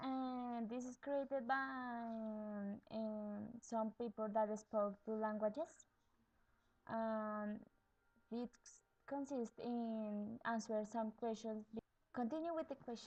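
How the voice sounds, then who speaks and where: A woman with a Latin American accent, fairly high in pitch, at a very slow pace with fairly even intonation and long, frequent pauses. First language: Spanish. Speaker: bilingual education student. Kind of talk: video blog tag answering questions. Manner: halting, with hesitations.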